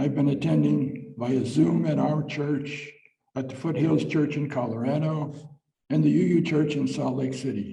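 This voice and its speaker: Audible room echo accompanies speech delivered at a moderate speed. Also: man. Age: 80s+. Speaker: church member giving a short talk. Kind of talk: reading aloud a personal talk at a church service. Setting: church service. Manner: halting, some repeated words.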